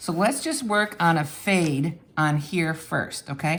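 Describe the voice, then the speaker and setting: Her voice unremarkable, a woman speaks at a fairly slow pace and fairly low pitch with lively intonation. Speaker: art teacher. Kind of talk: tutorial.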